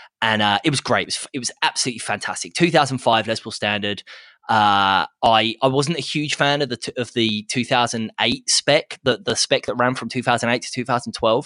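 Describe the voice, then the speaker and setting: Over a quiet background, a man speaks at a fairly quick pace in a medium pitch with ordinary pitch variation and a bright, sharp tone, the sound dry and close with no echo. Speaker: guitar podcast host, guest. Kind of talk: casual chat. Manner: halting, many repetitions and fillers.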